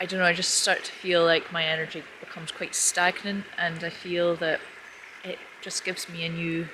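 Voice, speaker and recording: Over noticeable background noise, a soft-spoken woman talks at medium pitch. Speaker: vlogger. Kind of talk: vlog monologue. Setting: outdoors by a river.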